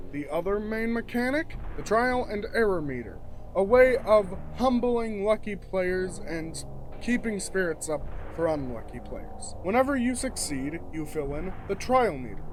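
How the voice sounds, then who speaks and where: The talking goes at a fairly slow pace while music sounds behind it. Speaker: game designer YouTuber. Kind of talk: explainer video.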